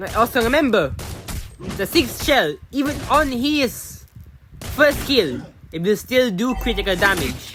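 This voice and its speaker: Fairly slow speech with long, frequent pauses over noticeable background noise. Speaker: gaming youtuber. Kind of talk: gameplay tutorial commentary. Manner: halting, repeats words.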